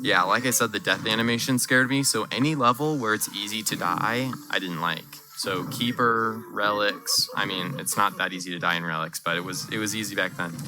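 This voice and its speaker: Lively intonation drives fairly quick speech with hardly any pauses. Noticeable background noise sits underneath. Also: man, fairly low pitch for a man. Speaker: speedrunner streamer. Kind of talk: live gameplay commentary.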